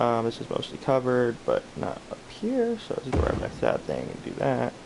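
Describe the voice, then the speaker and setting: He keeps a moderate pace, and the speaker is a man. Background noise is noticeable throughout. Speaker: video game streamer. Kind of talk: gameplay commentary. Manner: casual, hesitant with many fillers.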